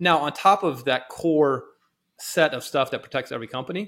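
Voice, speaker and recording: With music in the background, a man speaks in an American accent using ordinary pitch variation. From Texas. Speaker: cybersecurity company executive. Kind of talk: casual podcast interview.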